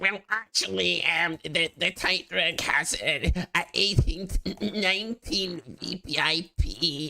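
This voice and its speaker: A put-on character voice, middle in pitch, at a fairly slow pace. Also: hardly any pauses. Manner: pedantic, nerdy.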